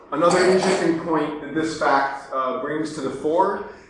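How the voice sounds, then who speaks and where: With audible room echo and noticeable background noise, a man speaks at a fairly high pitch. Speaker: speaker at a public talk. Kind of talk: public lecture. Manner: hesitant, many fillers.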